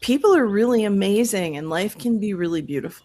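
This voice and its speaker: A normal speaking voice from a woman with an American accent, medium in pitch with lively intonation, on a very clean recording with a silent background. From Florida. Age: 50s. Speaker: life coach and podcaster. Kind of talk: podcast interview.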